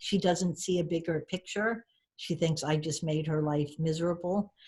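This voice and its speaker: A woman with an American accent talks at a moderate pace, her pitch fairly low and her intonation fairly even. Her voice is somewhat breathy. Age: 60s. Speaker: storyteller and author. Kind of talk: podcast interview.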